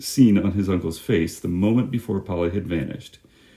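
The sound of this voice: Here is an unforced reading voice. The pitch moves with ordinary variation.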